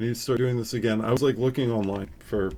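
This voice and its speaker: A man with an American accent has an unremarkable speaking voice at a medium pitch. His intonation is fairly even. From Upstate New York. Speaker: photography youtuber. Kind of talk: casual live stream chat. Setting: live stream at home. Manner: casual, filler-heavy.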